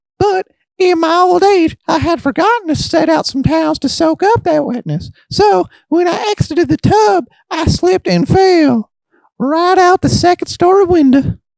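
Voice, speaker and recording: A man does a put-on character voice at an extremely high pitch, moving at a moderate pace. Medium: solo performance. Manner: rambling, chatty.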